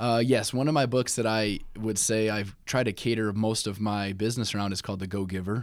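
A man with an American accent and a plain, everyday voice talks at a fairly quick pace with hardly any pauses, using fairly low pitch and fairly even intonation in a very clean recording with a silent background. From Indiana, South Bend. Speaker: mortgage consultant. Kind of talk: casual interview.

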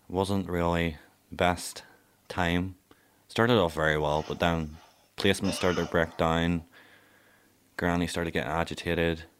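A man with a Northern Irish accent, very deep and low in pitch, flat and monotone, at a moderate pace with long, frequent pauses, on a very clean recording with a silent background. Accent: Northern Irish (Ballymena). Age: young. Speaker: care-experienced young person. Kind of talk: personal testimony.

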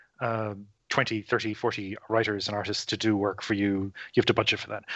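A man speaks with an Irish accent. His pitch sits at a medium level. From Ireland. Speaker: writer and podcaster. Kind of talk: casual interview chat.

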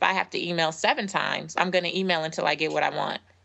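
A woman speaks at a fairly quick pace, her medium pitch moving with ordinary variation. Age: 30s. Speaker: author and speaker. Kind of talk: casual chat. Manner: animated.

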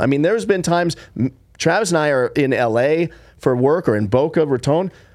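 A man talks fairly quickly on a very clean recording with a silent background. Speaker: podcast host and entrepreneur. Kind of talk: casual chat.

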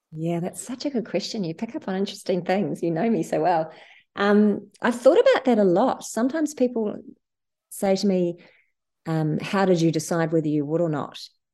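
Her voice has a dark, mellow tone and a medium pitch, and the woman's intonation is lively. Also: moderate pace. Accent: New Zealand. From New Zealand, Wanaka. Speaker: charity founder and CEO. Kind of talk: interview.

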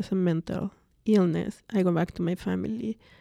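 A woman's medium-pitched, dark, mellow voice with a Spanish accent, on a very clean recording with a silent background. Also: dry, close sound with no echo. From Mexico City, Mexico. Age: 40s. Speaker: mental health patient sharing her story. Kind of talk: personal testimony interview. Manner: hesitant, many fillers.

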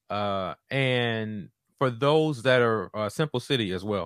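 A plain, everyday voice from a man with an American accent, fairly low pitch, ordinary pitch variation and a fairly slow pace, in a dry, close sound with no echo on a very clean recording with a silent background. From Southeast Washington, D.C., US. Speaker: podcast host, counseling doctoral student. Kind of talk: solo monologue podcast.

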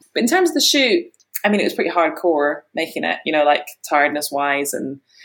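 A woman with an Edinburgh accent, fairly quick pace and very wide pitch swings. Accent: Scottish (Edinburgh). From Scotland, Edinburgh. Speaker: film director. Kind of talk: interview.

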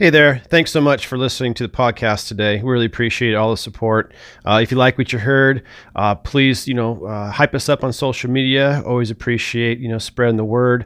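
A man's medium-pitched, fairly even delivery at a fairly quick pace, in an ordinary speaking voice. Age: 40s. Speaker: podcast host. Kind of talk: scripted intro and sponsor read; casual interview.

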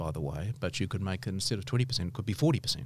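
A somewhat breathy man's voice with a New Zealand accent, on a very clean recording with a silent background. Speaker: law professor. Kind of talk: interview.

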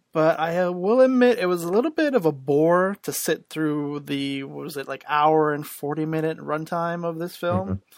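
Recorded very cleanly against a silent background, a man with an unremarkable speaking voice talks at a fairly high pitch and moderate pace with lively intonation. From Canada. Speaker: podcast host. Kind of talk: casual chat.

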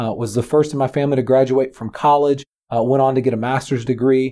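Speaking at a fairly quick pace with a Texan accent, a man has a medium pitch and a dark, mellow tone. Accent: Texan American. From Texas. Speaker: founder of a character development program, former pastor. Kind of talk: interview. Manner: energetic, animated.

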